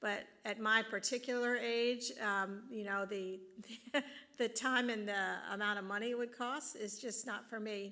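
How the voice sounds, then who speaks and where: Her pitch is fairly high and her tone bright and sharp. The woman speaks at a fairly slow pace. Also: fairly even intonation. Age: 60s. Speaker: district superintendent. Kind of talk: Q&A session.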